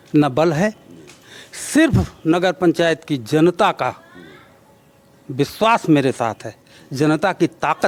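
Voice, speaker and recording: A man's fairly high voice with very wide pitch swings, over noticeable background noise. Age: 60s. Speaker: local politician. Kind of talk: interview.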